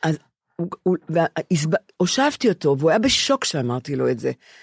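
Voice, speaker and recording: Here a woman with a fairly low pitch talks at a moderate pace, her pitch swinging very widely. The sound is dry and close with no echo. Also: very clean recording, silent background. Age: 70s. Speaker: podcast co-host. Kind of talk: casual chat.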